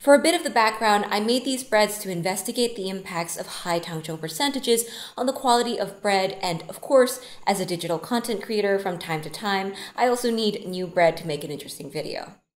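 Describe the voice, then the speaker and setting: Talking at a fairly quick pace, a woman makes big swings in loudness. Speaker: baking content creator. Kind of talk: explanatory tutorial talk. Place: studio.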